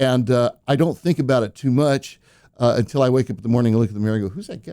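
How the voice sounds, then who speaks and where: This man speaks at a very fast pace in a dark, mellow tone at medium pitch. His pitch varies in an ordinary way while his loudness swings widely. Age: 60s. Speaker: singer-songwriter. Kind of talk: casual chat.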